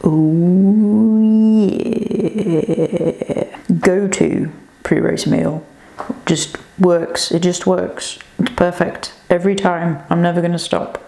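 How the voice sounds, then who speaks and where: Quiet and very slow, a woman with a fairly low pitch speaks at a very even loudness and with fairly even intonation, leaving long, frequent pauses over noticeable background noise. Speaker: running vlogger. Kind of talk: casual vlog. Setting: hotel room.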